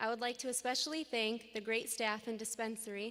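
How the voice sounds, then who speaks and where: Speaking at a fairly quick pace, a woman with an American accent has a shaky, fairly high voice. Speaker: graduating student, class president. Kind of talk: commencement speech. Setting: graduation ceremony with audience.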